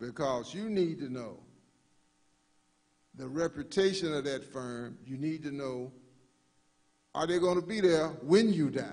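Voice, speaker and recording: The speaker has an American accent and lively intonation at a moderate pace. Room echo is audible. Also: man. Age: 60s. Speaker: funeral director. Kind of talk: workshop presentation. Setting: live-streamed church workshop.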